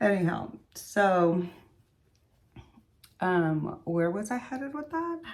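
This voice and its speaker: A woman's medium-pitched voice in a Spanish accent, at a very slow pace with long, frequent pauses and very wide pitch swings, plus audible room echo. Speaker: beauty vlogger. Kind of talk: casual chat. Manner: casual, hesitant with fillers.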